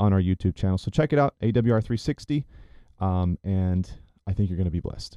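A man with an American accent, a very deep, low pitch and a dark, mellow tone at a fairly quick pace, in a dry, close sound with no echo and a quiet background. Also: ordinary pitch variation. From US South, Chattanooga, Tennessee. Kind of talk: casual chat; sermon. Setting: studio.

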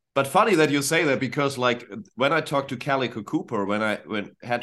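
Fairly quick delivery against a quiet background. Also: man. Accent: German. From northern Germany. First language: German. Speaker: rock band vocalist and producer. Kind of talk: casual interview chat.

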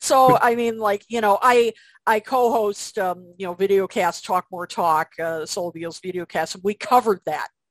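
Pitched at a medium level with ordinary variation, a woman speaks at a moderate pace. The sound is dry and close with no echo, against a quiet background. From US Midwest, Chicago area. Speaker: music writer and author. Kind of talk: casual interview.

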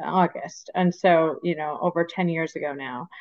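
A woman with an American accent speaks in a plain, everyday voice, her fairly low pitch and fairly even intonation moving at a moderate pace. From US Midwest, Michigan. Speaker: skincare brand founder. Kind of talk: interview.

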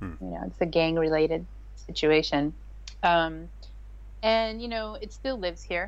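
A woman with an American accent speaks with long, frequent pauses and big swings in loudness. Audible room echo surrounds her voice. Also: moderate pace. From US Midwest, Chicago. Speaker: English teacher and essential oils seller. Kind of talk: casual interview chat.

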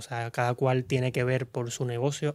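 A man's normal speaking voice, fairly high-pitched, at a moderate pace, on a very clean recording with a silent background. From Cuba. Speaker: singer. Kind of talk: casual interview chat.

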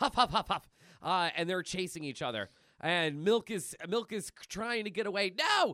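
The speaker reads something out. It comes in a natural reading voice.

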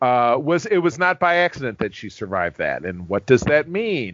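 With lively intonation and a normal speaking voice, a man delivers his words at a moderate tempo. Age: 40s. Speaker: podcast co-host. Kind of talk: casual chat.

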